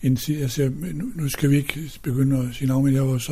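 This man's voice sits at a medium pitch, somewhat breathy and dark, mellow in tone, moving at a moderate pace. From Denmark, Odsherred (northwest Zealand). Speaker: retired pastor and hymn writer. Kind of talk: casual interview. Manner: halting.

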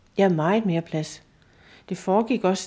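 A woman speaks at a fairly slow pace, her pitch fairly low and her tone dark and mellow. The recording is very clean, with a silent background. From rural Denmark. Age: 60s. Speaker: abuse survivor. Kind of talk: testimony. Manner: halting.

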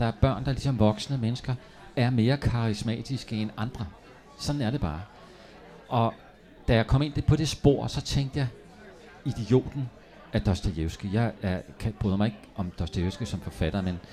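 A man with a fairly low voice, at a moderate pace, with ordinary pitch variation and long, frequent pauses. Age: 60s. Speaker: novelist. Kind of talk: public author interview. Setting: café stage with live audience.

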